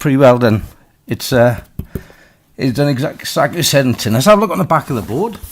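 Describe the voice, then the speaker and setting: Very fast speech from a man at medium pitch, with lively intonation and long, frequent pauses. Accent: Welsh. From Wales. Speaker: crossbow maker and reviewer. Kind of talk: casual product test talk to camera.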